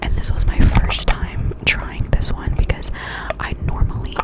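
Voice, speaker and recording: Whispered speech from a woman, moderately paced, against noticeable background noise. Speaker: ASMR creator. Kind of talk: ASMR product review talk. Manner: casual, rambling.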